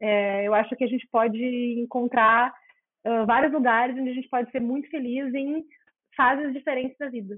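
Moderate pace in a southern Brazilian accent. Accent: gaúcho Portuguese. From Rio Grande do Sul, Porto Alegre. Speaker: behavioral nutritionist, former actress. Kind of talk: interview conversation. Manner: hesitant, repeats words.

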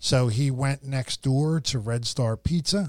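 A man with an unremarkable speaking voice and a medium pitch talks at a fairly slow pace. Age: 50s. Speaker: podcast host. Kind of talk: casual chat.

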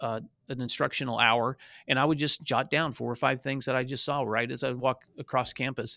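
At a very fast pace, a man with an American accent speaks in a bright, sharp tone with vocal fry, medium pitch and fairly even intonation, in a very clean recording with a silent background and a dry, close sound with no echo. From US South, northwest Tennessee. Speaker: education association director, former principal. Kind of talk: interview.

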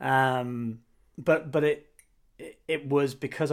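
Using fairly even intonation, a man speaks at a medium pitch with a British accent. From Britain. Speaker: podcast co-host, marketing professional. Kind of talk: casual chat. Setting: recording from home.

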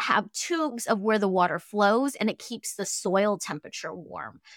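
A bright, sharp voice in a Cantonese accent swings very widely in pitch. The recording is very clean and dry, close with no echo and a silent background. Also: woman. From Fairbanks, Alaska. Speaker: tea company founder and author. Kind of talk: casual interview chat.

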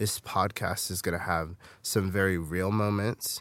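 Very deep, low pitch from a man with an American accent at a moderate pace, in a very clean recording with a silent background. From US West Coast, Bay Area. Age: 20s. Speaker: podcast host, youth leader. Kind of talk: personal testimony podcast.

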